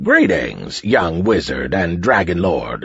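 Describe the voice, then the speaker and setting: Using a put-on character voice, a man speaks croakily at a fairly slow pace with a very deep, low pitch. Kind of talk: formal greeting.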